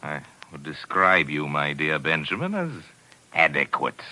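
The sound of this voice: Using a put-on character voice, a man speaks at a fairly slow pace with an extremely low pitch, big pitch swings and a bright, sharp tone.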